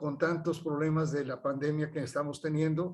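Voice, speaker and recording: A man with a fairly high pitch talks with monotone, flat intonation. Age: 70s. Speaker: chemical engineer and researcher. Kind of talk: health talk. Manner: halting.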